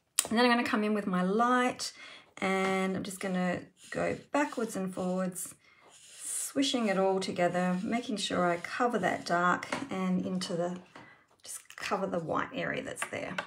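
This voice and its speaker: A woman's medium-pitched voice with ordinary pitch variation against noticeable background noise. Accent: Australian. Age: 50s. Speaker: card-making craft demonstrator. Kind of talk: tutorial. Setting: live stream. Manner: relaxed, unhurried.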